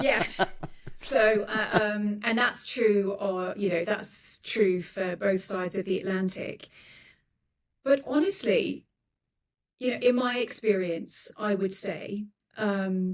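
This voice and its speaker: At a very slow pace, a woman speaks at medium pitch with ordinary pitch variation and long, frequent pauses. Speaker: news anchor and international correspondent. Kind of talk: interview answer.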